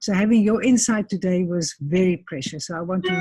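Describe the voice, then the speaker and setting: Somewhat breathy and dark, mellow in tone, a woman speaks fairly quickly at a medium pitch with ordinary pitch variation. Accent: South African. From South Africa. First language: Afrikaans. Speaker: interviewer. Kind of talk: interview.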